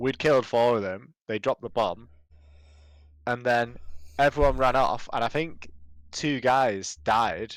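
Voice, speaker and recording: On a very clean recording with a silent background, the speaker uses a British accent, a fairly slow pace, ordinary pitch variation, and long, frequent pauses. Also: man, medium pitch for a man. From Britain. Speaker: podcast co-host. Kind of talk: casual chat.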